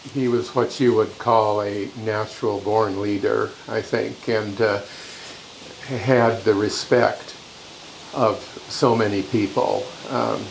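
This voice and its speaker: The speaker talks at a very slow pace in a Pacific Northwest accent with fairly even intonation. Noticeable background noise and audible room echo fill the recording. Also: man, fairly low pitch for a man. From Washington state, Yakima Valley. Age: 80s+. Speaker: interviewee recalling family farm. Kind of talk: interview reminiscence. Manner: halting, many fillers.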